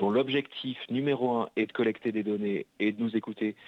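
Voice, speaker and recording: Speaking at a fairly slow pace, a man keeps to a medium pitch. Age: 30s. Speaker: novelist. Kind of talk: interview. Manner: halting.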